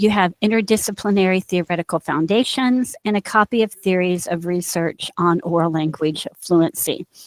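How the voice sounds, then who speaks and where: With an American accent, a woman speaks at a moderate pace and medium pitch with ordinary pitch variation, in a dry, close sound with no echo. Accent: Indiana accent, noticeable at times. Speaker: university instructor. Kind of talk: recorded lecture. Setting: screen-share recording.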